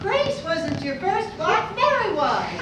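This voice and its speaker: A woman performs a squeaky, put-on character voice at an extremely high pitch and a fairly slow pace. Loud background noise and slight echo are present. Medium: stage play. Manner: giggly, teasing.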